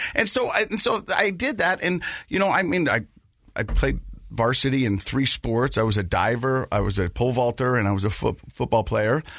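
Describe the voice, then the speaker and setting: An animated man with an American accent speaks at a moderate pace and medium pitch. His pitch swings very widely, with vocal fry. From Utah (Ogden). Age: 40s. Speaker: podcast host and former radio newscaster. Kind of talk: interview testimony. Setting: studio. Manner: animated storytelling.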